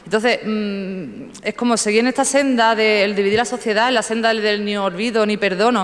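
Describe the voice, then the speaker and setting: A woman's fairly high voice with fairly even intonation and hardly any pauses, amid noticeable background noise and audible room echo. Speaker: town councillor. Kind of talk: council debate speech. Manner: fast; halting, many fillers.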